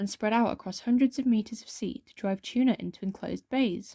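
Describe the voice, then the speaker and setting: A soft-spoken woman with a British accent talks at a fairly quick pace, her fairly high voice somewhat breathy with a dark, mellow tone. The sound is dry and close with no echo, in a very clean recording with a silent background. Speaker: ASMR creator. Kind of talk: reading aloud.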